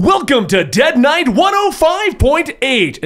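A man speaks in a put-on character voice. His pitch is extremely high. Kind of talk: in-character narration. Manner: brash, provocative.

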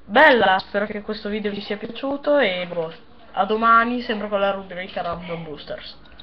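A woman's medium-pitched voice at a moderate pace, with ordinary pitch variation over light background noise. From Italy. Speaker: YouTuber opening card packs. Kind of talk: unboxing video commentary. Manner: casual, animated. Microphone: webcam.

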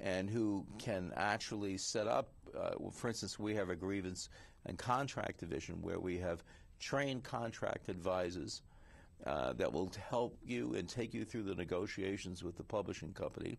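Speaking in an American accent, a man with fairly low pitch and vocal fry uses lively intonation at a moderate pace. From New York City (Queens). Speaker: writers union president and investigative journalist. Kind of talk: interview conversation.

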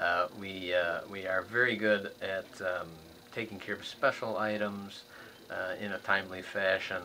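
A man talks with a fairly low pitch over light background noise. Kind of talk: interview answer. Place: office. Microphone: camera far.

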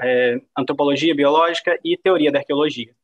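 This man has a plain, everyday voice, fairly high in pitch, with ordinary pitch variation. He speaks at a moderate pace against a quiet background. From Brazil. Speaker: PhD researcher in archaeometry; guest lecturer. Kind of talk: lecture. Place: home room. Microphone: video call.

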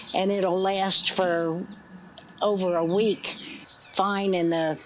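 Against noticeable background noise, a woman speaks with monotone, flat intonation. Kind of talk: interview answer. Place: street.

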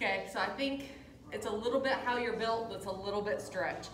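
A woman speaks over light background noise. Some room echo is audible. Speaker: yoga instructor. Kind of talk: instruction. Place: gym. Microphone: camera far.

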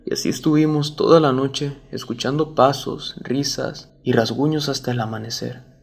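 A man talks at a moderate pace in an ordinary speaking voice. His pitch is fairly high and his intonation fairly even. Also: hardly any pauses. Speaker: storyteller reading a viewer-submitted true story. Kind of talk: ghost story telling, first-person horror narration.

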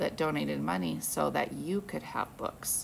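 Light background noise behind a woman's speech. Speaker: teacher. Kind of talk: read-aloud to children. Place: classroom. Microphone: phone near.

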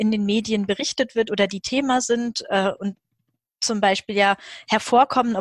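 A woman talks at a moderate pace in a monotone, flat intonation. The sound is dry with no echo, and the background is quiet. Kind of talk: webinar introduction. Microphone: video call.

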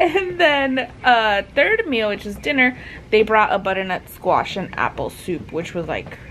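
Very wide pitch swings from a woman speaking at a fairly slow pace over light background noise. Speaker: new mother vlogger. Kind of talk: casual vlog chat. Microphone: phone near.

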